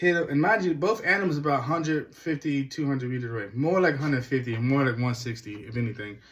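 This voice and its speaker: Somewhat breathy and fairly high-pitched, a man talks at a very fast pace with lively intonation and hardly any pauses. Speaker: hunting vlogger. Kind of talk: casual first-person story recap.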